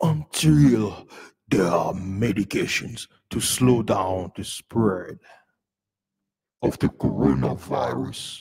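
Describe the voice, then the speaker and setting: Putting on a sinister, menacing character voice, a man speaks at a very slow pace and a fairly low pitch, with long, frequent pauses. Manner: sinister, menacing, evil.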